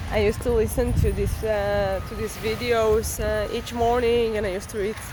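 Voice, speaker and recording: The speaker has a non-native accent. Noticeable background noise runs through the clip. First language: not English. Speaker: YouTuber sharing study tips. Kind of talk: casual tutorial. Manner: halting, many filler words.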